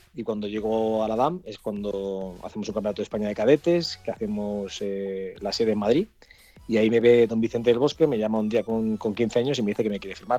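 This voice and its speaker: A man at a fairly low pitch with ordinary pitch variation, music in the background. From Catalonia, Spain (Cerdanyola del Vallès). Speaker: retired footballer. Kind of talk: interview. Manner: halting, many repetitions.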